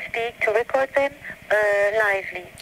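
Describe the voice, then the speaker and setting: Speaking with an American accent at a fairly high pitch, a woman shows ordinary pitch variation over noticeable background noise. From Canada, Italian family. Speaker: French teacher and interviewer. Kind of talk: interview. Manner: halting.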